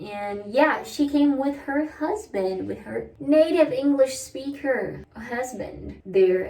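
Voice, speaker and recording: Speaking at a very slow pace, a woman with a Brazilian accent uses lively intonation. There is noticeable background noise. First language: Portuguese. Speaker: vlogger. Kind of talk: casual chat. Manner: casual, chatty.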